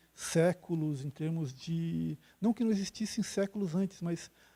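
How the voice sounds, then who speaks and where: A soft-spoken man with a high pitch and a dark, mellow tone talks at a moderate pace in a dry, close sound with no echo. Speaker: geology professor. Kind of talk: lecture. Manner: halting, many fillers. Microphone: quiet on the microphone.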